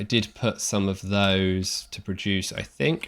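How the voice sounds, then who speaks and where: On a very clean recording with a silent background, a man speaks in a fairly low voice. His tone is bright and sharp, with fairly even intonation. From England. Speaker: video game streamer. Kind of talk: live gameplay commentary. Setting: live stream. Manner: casual, conversational.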